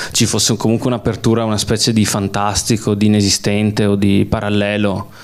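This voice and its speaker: A man's fairly low voice, monotone and flat in intonation, at a fairly quick pace. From Veneto, Belluno area (Sedico). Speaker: film director. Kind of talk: public Q&A talk. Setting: cinema with audience.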